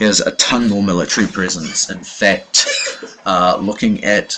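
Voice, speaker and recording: Noticeable background noise runs under this recording. A man with a fairly low pitch talks at a moderate pace with lively intonation. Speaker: game commentator. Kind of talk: live commentary. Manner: hesitant, many fillers.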